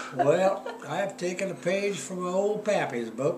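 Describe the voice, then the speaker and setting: Speaking fairly slowly, a man is heard. Noticeable background noise sits beneath his voice. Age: 80s+. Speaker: cowboy poet. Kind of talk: poetry reading.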